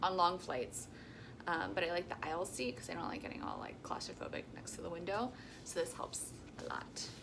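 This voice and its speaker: Against noticeable background noise, a woman with a fairly low pitch talks at a fairly quick pace. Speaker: travel vlogger. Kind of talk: casual vlog. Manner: casual with many filler ums.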